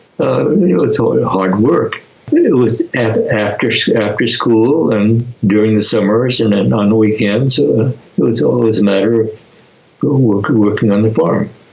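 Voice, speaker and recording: A man with a West Coast accent speaks fairly slowly at a medium pitch, with ordinary pitch variation and very even loudness, over noticeable background noise. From US Pacific Northwest, rural Oregon near Portland. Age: 90s. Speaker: internment camp survivor. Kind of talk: interview. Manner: halting, many repetitions and fillers.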